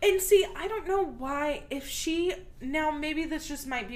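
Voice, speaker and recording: A woman with an American accent, in audible room echo. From Texas. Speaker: true crime podcast co-host. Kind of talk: casual chat.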